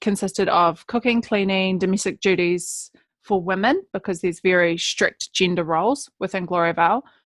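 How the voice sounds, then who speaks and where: Her intonation fairly even, a woman of medium pitch speaks at a moderate pace on a very clean, silent-background recording that sounds dry and close with no echo. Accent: New Zealand. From New Zealand, West Coast of South Island. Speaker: public speaker and author. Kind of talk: podcast interview. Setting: podcast.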